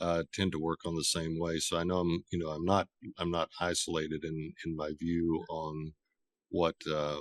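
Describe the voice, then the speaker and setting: A man with an American accent speaks in a very deep, low voice. His intonation is flat and monotone, and the sound is dry and close with no echo. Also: moderate pace. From US South, Tennessee, Appalachia. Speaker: author and conference organizer. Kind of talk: talk with Q&A at writers' meeting.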